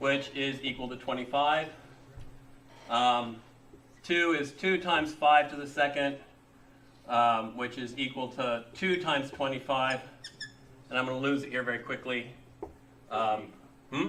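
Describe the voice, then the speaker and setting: Over light background noise, a man talks at a fairly slow pace with fairly even intonation. His speech has long, frequent pauses. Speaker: college instructor. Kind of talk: lecture. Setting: classroom with students. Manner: halting, many fillers. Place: classroom.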